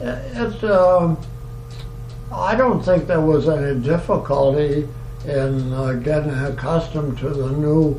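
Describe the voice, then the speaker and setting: A man's fairly high-pitched voice at a very slow pace, with audible room echo and noticeable background noise. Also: ordinary pitch variation. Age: 90s (80s+). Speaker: retired oil industry worker interviewed about past work. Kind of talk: oral history interview. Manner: halting, many fillers.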